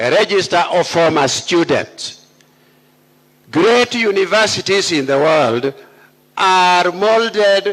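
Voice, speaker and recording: A man uses a high pitch and lively intonation while speaking at a very slow pace. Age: 80s+. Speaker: university speaker, senior academic. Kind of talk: commencement speech. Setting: graduation ceremony with audience. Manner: formal.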